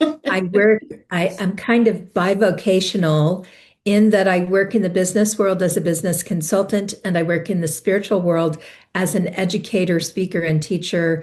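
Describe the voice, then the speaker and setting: At a moderate pace, a woman speaks in an unremarkable speaking voice of medium pitch, with fairly even intonation and a quiet background. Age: 60s. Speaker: spiritual teacher and business consultant. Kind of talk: interview.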